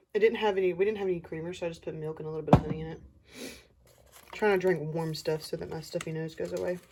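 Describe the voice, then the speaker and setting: A woman talks at a very fast pace in a fairly low pitch with fairly even intonation. Noticeable background noise can be heard. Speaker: artist showing sketchbooks. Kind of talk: casual sketchbook tour narration. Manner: casual, conversational.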